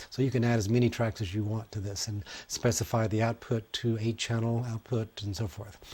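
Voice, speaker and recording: On a very clean recording with a silent background, a man speaks at a fairly quick pace, somewhat breathy, at a medium pitch and in a monotone, flat intonation. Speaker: music technology instructor. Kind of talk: tutorial. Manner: fast.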